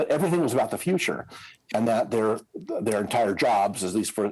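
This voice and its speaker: A man's fairly low voice in an American accent, with ordinary pitch variation and music in the background. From US Midwest, Indiana. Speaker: scenario planning consultant. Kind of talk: podcast interview. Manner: halting, many fillers.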